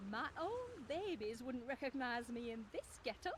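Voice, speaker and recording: This is a put-on character voice that sounds female. Background noise comes through clearly. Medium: video game. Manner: sweet, affected.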